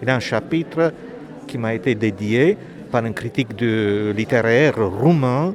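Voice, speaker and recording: A man with a Romanian accent speaks at a fairly slow pace with ordinary pitch variation, against noticeable background noise. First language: Romanian (speaking French). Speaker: author and poet. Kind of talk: interview.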